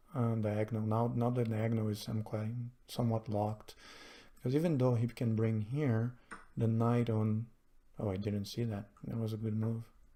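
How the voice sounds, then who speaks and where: A man speaks at a moderate pace with a medium-pitched voice, a dark, mellow tone and fairly even intonation. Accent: non-native. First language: not English. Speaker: chess streamer. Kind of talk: live game commentary. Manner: hesitant, many fillers.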